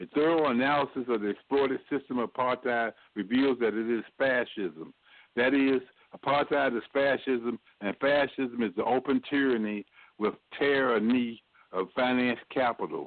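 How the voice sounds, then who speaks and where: A man's normal speaking voice, a normal speaking voice at medium pitch, moderate pace, fairly even intonation and very even loudness. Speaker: socialist activist, political panelist. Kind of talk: political panel discussion.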